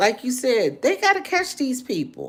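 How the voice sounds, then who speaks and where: A woman talks with very wide pitch swings. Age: 60s. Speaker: livestreamer. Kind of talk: casual livestream chat with viewers. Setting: live video stream. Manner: repetitive, halting with fillers.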